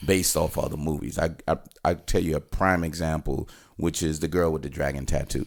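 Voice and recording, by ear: A man speaks at an extremely low pitch with vocal fry. His tone is slightly mellow.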